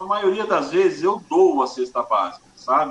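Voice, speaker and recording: Fairly slow speech from a man, with noticeable background noise. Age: 40s. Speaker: music event producer. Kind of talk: casual interview.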